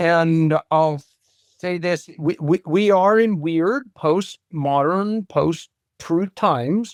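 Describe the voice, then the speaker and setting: In a very clean recording with a silent background and a dry, close sound with no echo, a man with an American accent talks at a very slow pace, his high pitch showing ordinary variation. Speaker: martial arts instructor. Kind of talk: interview conversation.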